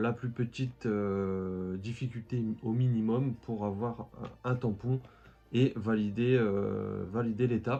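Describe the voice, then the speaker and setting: The delivery is very slow and monotone, with flat intonation. Music plays in the background. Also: man. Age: 20s. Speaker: collectibles youtuber. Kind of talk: casual vlog. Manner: hesitant, many fillers.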